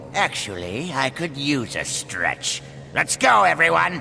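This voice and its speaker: Over clear background noise, a man puts on a character voice at medium pitch, moving at a fairly slow pace with very wide pitch swings. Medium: video game. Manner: dry, sarcastic.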